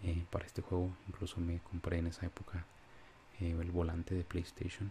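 A man speaks with a very deep, low pitch and a dark, mellow tone. There is light background noise. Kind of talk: casual vlog chat. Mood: nostalgic, relaxed. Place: home room.

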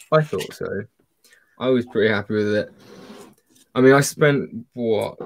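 Light noise behind a man's dry, echo-free voice. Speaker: guest on stream, Lego fan; guest. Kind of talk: casual chat. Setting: video call. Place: home room. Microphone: video call.

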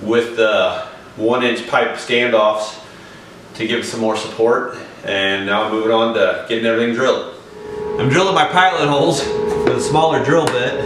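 A man speaks at a moderate pace with ordinary pitch variation and long, frequent pauses, with music in the background and audible room echo. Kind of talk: tutorial. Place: home room. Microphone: camera far.

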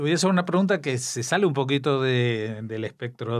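With an Argentine accent, a man talks fairly slowly in a medium pitch. The background is quiet. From Argentina. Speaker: radio host. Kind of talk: radio interview. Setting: studio.

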